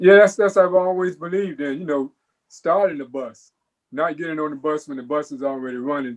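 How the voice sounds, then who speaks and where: A man with an American accent has an unremarkable speaking voice, fairly high in pitch with ordinary variation. He talks at a fairly quick pace, and his loudness swings widely. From South Florida. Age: 60s. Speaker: menswear designer and model. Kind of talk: interview.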